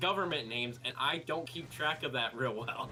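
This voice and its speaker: This man has a Southern US accent. He talks fairly slowly. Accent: southern US, on some words. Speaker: streamer. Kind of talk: casual chat.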